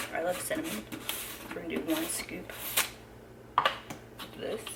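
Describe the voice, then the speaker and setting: A woman whispers at a moderate pace. Audible room echo and noticeable background noise surround her voice. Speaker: fitness trainer and vlogger. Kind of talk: casual vlog narration. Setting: at home, early morning. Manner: whispering.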